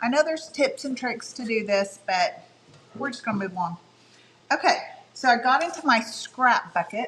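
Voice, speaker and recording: A loud woman's voice, high in pitch, with very wide pitch swings and long, frequent pauses. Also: moderate pace. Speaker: craft livestream host. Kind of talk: live craft tutorial. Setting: livestream at home. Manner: casual, meandering.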